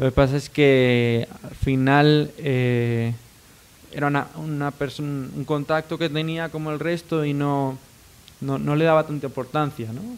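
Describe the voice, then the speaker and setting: Here a man with an unremarkable speaking voice has a fairly high pitch. He talks at a fairly slow pace with fairly even intonation. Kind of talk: interview.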